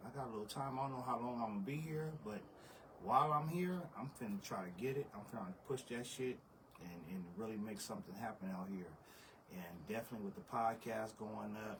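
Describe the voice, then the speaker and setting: Fairly quick, medium-pitched speech from a man amid noticeable background noise. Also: lively intonation. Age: 40s. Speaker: podcast host. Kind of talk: casual chat.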